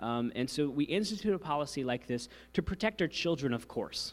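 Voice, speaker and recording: A fairly high-pitched male voice with vocal fry and very wide pitch swings, on a very clean recording with a silent background. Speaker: church staff leading volunteer safety training. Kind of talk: training session. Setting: church hall with live audience, live streamed. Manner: fast.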